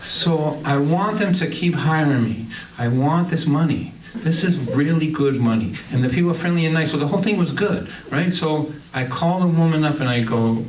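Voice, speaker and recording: With audible room echo and noticeable background noise, a man speaks at a moderate pace and fairly high pitch, his loudness very even and his pitch varying in an ordinary way. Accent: Boston. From Massachusetts, Lynn. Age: 60s. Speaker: singer-songwriter and storyteller. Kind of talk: stand-up storytelling. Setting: stage with audience. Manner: animated.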